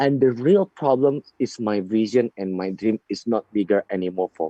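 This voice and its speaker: Dry and close with no echo, a man speaks at a medium pitch in a dark, mellow tone. He goes at a fairly slow pace with lively intonation. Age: 30s. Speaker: network marketing leader. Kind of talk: seminar talk. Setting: video call. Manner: halting.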